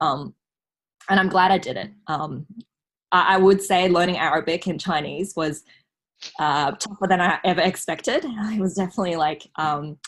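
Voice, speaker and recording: Moderate pace with long, frequent pauses, ordinary pitch variation and a non-native accent. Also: woman. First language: not Mandarin. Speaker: scholarship recipient, law student. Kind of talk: casual podcast interview. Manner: hesitant, many fillers.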